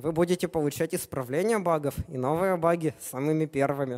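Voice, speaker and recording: Against a quiet background, a man speaks at a moderate pace with a fairly high pitch and ordinary pitch variation. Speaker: software developer, conference speaker; conference speaker. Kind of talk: conference talk. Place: hall.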